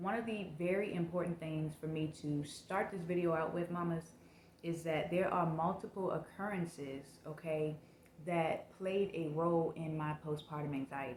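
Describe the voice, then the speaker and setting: Over noticeable background noise, a woman talks at a moderate pace in a fairly low pitch with fairly even intonation. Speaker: mom vlogger. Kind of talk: personal vlog testimony.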